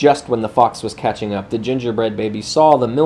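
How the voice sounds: The pitch moves with ordinary variation. It is a natural reading voice throughout.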